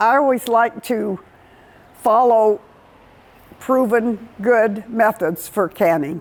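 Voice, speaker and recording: Speech comes at a very slow pace, broken by long, frequent pauses. Loudness swings widely, while pitch varies in an ordinary way. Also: woman, fairly high pitch for a woman. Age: 80s+. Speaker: home gardener. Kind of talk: interview answer.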